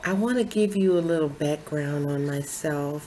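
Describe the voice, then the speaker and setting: A very deep, low-pitched woman's voice at a fairly slow pace, with ordinary pitch variation and audible room echo. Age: 60s. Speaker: lifestyle vlogger. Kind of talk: personal testimony to camera.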